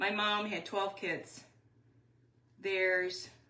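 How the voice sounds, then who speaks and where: A woman with an American accent speaks with audible room echo. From Wisconsin. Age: 60s. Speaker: craft YouTuber. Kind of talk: live craft tutorial. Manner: casual, chatty.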